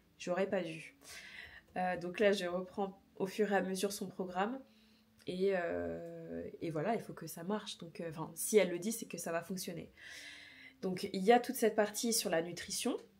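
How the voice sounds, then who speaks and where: At a moderate pace with long, frequent pauses, a woman of medium pitch speaks with vocal fry, fairly even intonation and big swings in loudness. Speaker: fitness vlogger. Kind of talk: casual vlog talk. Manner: hesitant with many fillers.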